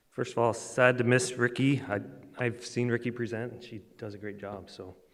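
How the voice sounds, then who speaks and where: A man's medium-pitched voice at a moderate pace, flat and monotone in intonation, with audible room echo. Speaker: transportation engineer, conference presenter. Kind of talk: conference presentation.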